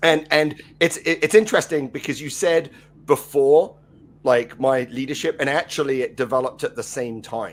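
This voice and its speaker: Over music in the background, a man with fairly high pitch and ordinary pitch variation talks at a moderate pace. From England. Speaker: leadership consultant and former rugby coach. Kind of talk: interview conversation. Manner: halting, with many fillers.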